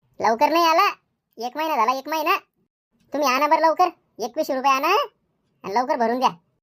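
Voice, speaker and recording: A woman does a cartoonish character voice, pitched high with ordinary pitch variation. She talks at a fairly quick pace. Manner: bossy, whiny rustic Marathi.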